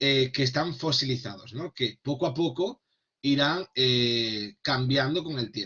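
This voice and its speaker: A man at a medium pitch, speaking at a very slow pace with ordinary pitch variation. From Extremadura, Spain. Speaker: Spanish language teacher trainer. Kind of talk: online workshop lecture. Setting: online video session. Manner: hesitant with fillers and repetitions.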